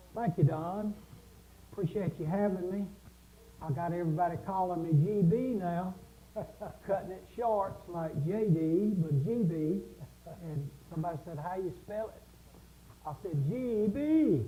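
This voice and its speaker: Pausing long and often, a man with a Southern US accent speaks at a fairly slow pace. His high-pitched voice has a dark, mellow tone, and his loudness swings widely. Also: ordinary pitch variation. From South Carolina. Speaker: music instructor. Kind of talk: casual chat.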